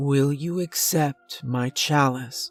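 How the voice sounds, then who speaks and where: Faint music plays behind a soft-spoken man using a put-on character voice pitched fairly high. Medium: read story. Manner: soft, sad, solemn.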